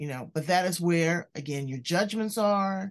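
Against a quiet background, a woman with a fairly low pitch talks at a fairly slow pace in a plain, everyday voice. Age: 60s. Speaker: podcast host. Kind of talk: interview; show intro.

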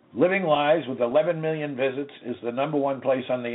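A man speaks in a plain, everyday voice at medium pitch. His pace is moderate and his pitch variation ordinary. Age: 60s. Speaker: lawyer and radio host. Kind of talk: lecture. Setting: radio studio.

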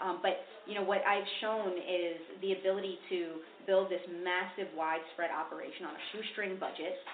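A woman with an American accent speaks at medium pitch and a moderate pace, with audible room echo and noticeable background noise. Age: young. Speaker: public defender and district attorney candidate. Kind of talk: interview.

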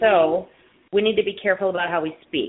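The pitch of this woman sits in the medium range. It rises and falls in an ordinary way. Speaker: radio show host, music therapist. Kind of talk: radio interview. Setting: call-in radio show.

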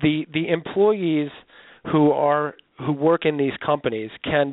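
A man speaks at a fairly slow pace. His voice is fairly high in pitch and a normal speaking voice. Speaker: travel company executive. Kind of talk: interview.

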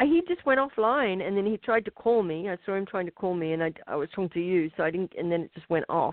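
A woman talks very fast with a non-native accent and hardly any pauses. Her medium-pitched voice has lively intonation. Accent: foreign. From outside the country of the show. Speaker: call-in guest. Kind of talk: casual chat. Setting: video call.

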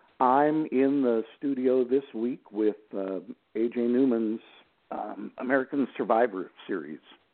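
Speaking at a fairly slow pace, this is an unremarkable speaking voice with ordinary pitch variation. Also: man, medium pitch for a man. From Texas. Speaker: audiobook narrator. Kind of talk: interview.

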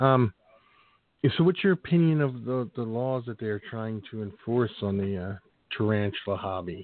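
A plain, everyday voice with lively intonation, at a moderate pace. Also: man, medium pitch for a man. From Philadelphia. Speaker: podcast host. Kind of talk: casual interview.

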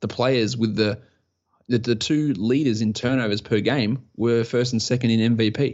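In an Australian accent, the words come at a moderate pace. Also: man, medium pitch for a man, fairly even intonation. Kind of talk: casual interview chat. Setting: remote call.

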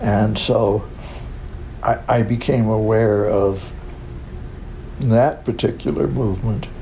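With noticeable background noise and audible room echo, a man with a fairly low pitch speaks at a very slow pace, keeping his loudness very even and taking long, frequent pauses. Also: ordinary pitch variation. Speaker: LGBTQ activist. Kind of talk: interview. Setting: community center. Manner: halting.

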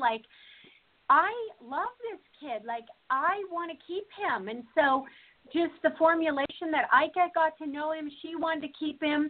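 A woman speaks at a moderate pace with a high pitch. Her intonation is lively and her tone animated. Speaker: reality TV contestant. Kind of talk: casual chat. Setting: phone call.

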